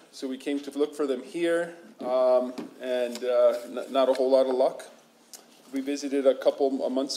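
In a flat monotone, a man delivers his words. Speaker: state official presenting to council. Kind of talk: formal presentation. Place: meeting room.

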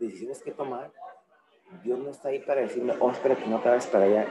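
This man speaks at a fairly quick pace. Light background noise can be heard. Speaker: attendee. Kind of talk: casual chat. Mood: reflective, personal. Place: meeting room. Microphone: camera far.

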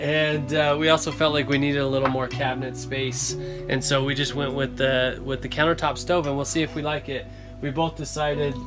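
Clear music plays behind a man. He talks at a fairly quick pace in a monotone, flat delivery. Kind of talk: casual vlog chat. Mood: cheerful, laughing. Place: bus. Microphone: phone near.

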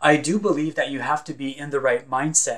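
In a Franco-Ontarian accent, a man speaks at a fairly high pitch with ordinary pitch variation. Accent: Franco-Ontarian Canadian English. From northern Ontario, Canada (francophone community near Sudbury). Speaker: visual artist. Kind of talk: scripted narration. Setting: recorded at home or studio. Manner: formal.

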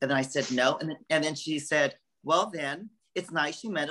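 A man with an American accent speaks at a moderate pace over a quiet background. His fairly high voice has a bright, sharp tone. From California. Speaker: art curator; guest. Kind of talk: interview. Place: home room. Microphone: video call.

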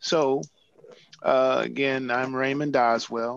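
With an American accent, a man talks at a moderate pace in fairly even intonation, the sound dry with no echo. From US Midwest, St. Louis; US Midwest. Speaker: museum curator. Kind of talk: presentation with slides. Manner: halting, many fillers. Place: office. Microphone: video call.

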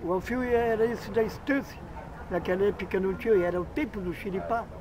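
At a moderate pace, a man talks with ordinary pitch variation, the sound dry with no echo but with noticeable background noise. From Candiota, Rio Grande do Sul, Brazil. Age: 50s. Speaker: local popular figure interviewed. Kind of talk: interview answer. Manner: rambling storytelling. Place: open country.

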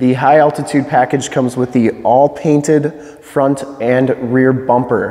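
At a fairly slow pace, a man speaks with monotone, flat intonation. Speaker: presenter. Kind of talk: product walkaround commentary. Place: studio. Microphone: lapel.

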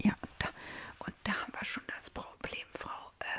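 At a fairly slow pace, a woman talks in a whisper. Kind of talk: role-play vet consultation, soft ASMR-style talk. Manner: soft ASMR-style vet talk. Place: home room. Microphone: studio mic.

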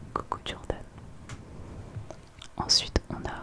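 A woman is whispering at a very slow pace with noticeable background noise. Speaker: ASMR creator. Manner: intimate close-mic whisper. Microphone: studio mic.

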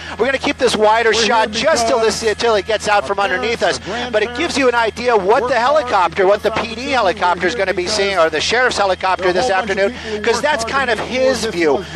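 At a very fast pace, a man speaks in a high pitch with ordinary pitch variation and very even loudness, over noticeable background noise. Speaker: news helicopter reporter, live commentator. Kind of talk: live commentary on a police chase. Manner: casual, conversational, matter-of-fact.

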